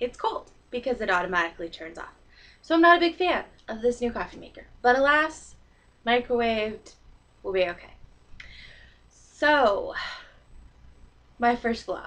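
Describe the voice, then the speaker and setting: In an American accent, a woman with a high pitch makes very wide pitch swings and takes long, frequent pauses. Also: moderate pace, big swings in loudness. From Canada, northern British Columbia, then US from age nine. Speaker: vlogger. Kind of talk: casual vlog monologue. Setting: recording to computer webcam.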